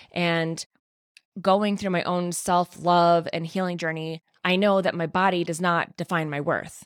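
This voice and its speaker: The sound is close and dry, without any echo. A woman talks fairly slowly. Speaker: podcast host. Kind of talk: casual solo monologue. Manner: high energy, animated.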